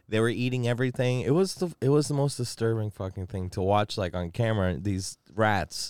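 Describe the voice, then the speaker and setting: A man with a normal speaking voice and medium pitch talks at a fairly quick pace with lively intonation and hardly any pauses. The recording is very clean, with a silent background and a dry, close sound with no echo. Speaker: stand-in co-host. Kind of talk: casual banter.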